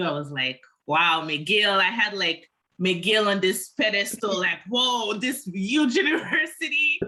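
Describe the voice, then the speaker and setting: A woman speaks fairly slowly at a medium pitch, her pitch swinging very widely. Her tone is bright and sharp. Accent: Quebec. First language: French. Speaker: social work student. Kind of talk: casual conversation.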